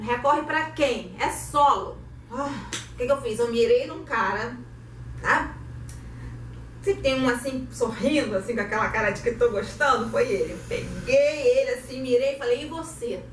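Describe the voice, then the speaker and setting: A woman speaks in a Carioca accent with an animated tone at a moderate pace, pausing long and often. Background noise is noticeable, and the room echoes audibly. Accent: carioca Brazilian Portuguese. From Rio de Janeiro, Brazil. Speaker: actress and theatre director. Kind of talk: online lecture.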